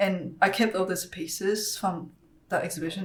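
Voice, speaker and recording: A woman with a medium-pitched, somewhat breathy voice talks at a moderate pace amid audible room echo. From Taiwan, moved to Australia as a child. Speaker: ceramic artist. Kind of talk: casual chat. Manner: hesitant, many fillers.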